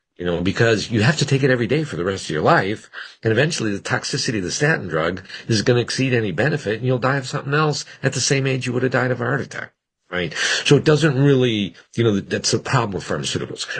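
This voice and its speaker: This man talks very fast at a medium pitch, with lively intonation and vocal fry. The background is quiet. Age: 60s. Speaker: physician. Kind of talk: interview. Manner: conversational, with frequent restarts.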